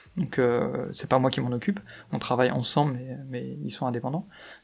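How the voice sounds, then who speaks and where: His pitch is in the middle range for a man. He speaks fairly quickly. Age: 30s. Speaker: chief financial officer. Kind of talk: interview. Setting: company office. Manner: hesitant, many fillers and repetitions.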